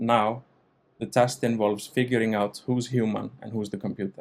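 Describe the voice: At a moderate pace, a man speaks in a fairly low voice with a slightly mellow tone and fairly even intonation.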